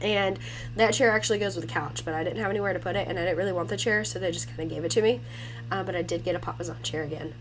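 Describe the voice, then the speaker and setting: A woman speaking at a very fast pace, with audible room echo and noticeable background noise. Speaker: home lifestyle vlogger. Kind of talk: house tour vlog. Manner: casual.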